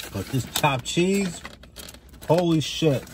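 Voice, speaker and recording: A man speaks with ordinary pitch variation in a dry sound with no echo, over noticeable background noise. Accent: American. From New York. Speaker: YouTuber, food vlogger. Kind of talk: mukbang eating vlog. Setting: outdoors. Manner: casual, animated. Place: car. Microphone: phone near.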